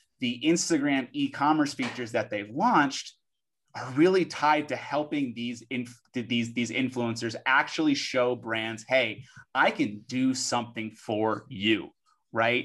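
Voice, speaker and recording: Over a quiet background, a man talks at a fairly slow pace. His pitch is medium, with ordinary variation. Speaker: podcast co-host, influencer marketing professional. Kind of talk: casual chat. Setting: live audio chat room. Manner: animated.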